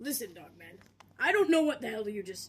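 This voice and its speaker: Putting on a raspy, cartoonish character voice at an extremely high pitch, a man speaks at a fairly quick pace. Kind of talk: comic puppet overacting. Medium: puppet show. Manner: theatrical, exasperated.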